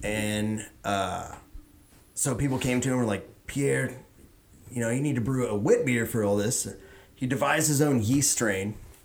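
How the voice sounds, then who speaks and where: Audible room echo surrounds a man with an American accent who speaks at a medium pitch and a moderate pace, with ordinary pitch variation and long, frequent pauses. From Houston, Texas. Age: 30s. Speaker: craft beer expert. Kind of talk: casual chat.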